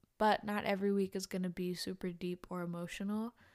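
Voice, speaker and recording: A woman with an unremarkable speaking voice talks at a moderate pace and medium pitch, in a dry, close sound with no echo. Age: 20s. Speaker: podcast host and college student. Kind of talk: solo podcast monologue.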